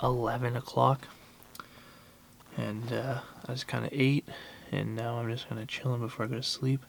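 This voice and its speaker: Soft-spoken and monotone with flat intonation, the voice moves at a moderate pace with long, frequent pauses over noticeable background noise. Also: man, medium pitch for a man. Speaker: van-dwelling travel vlogger. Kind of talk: casual vlog talk. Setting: inside a van. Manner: hesitant, many fillers; soft-spoken, quiet.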